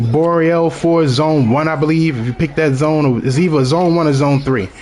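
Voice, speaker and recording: A strong Baltimore accent comes through over noticeable background noise. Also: man. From Baltimore, Maryland, US. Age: 30s. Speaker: video game streamer. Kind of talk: gameplay live stream commentary. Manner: casual, conversational.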